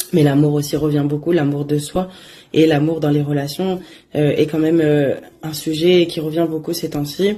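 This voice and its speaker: This woman's voice is very deep and low, with a dark, mellow tone. She speaks at a moderate pace in a monotone, flat intonation. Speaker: oracle card reader. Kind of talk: casual daily oracle message. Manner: hesitant, many fillers.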